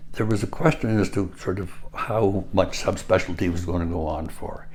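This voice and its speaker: Speaking at a moderate pace with a Canadian accent, a man has a very deep, low pitch and ordinary pitch variation. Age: 80s+. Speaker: retired surgeon. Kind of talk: interview. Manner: halting.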